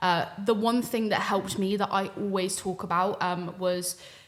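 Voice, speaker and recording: An ordinary speaking voice from a woman at medium pitch, fairly slow, with fairly even intonation. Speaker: streamer. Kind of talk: panel discussion.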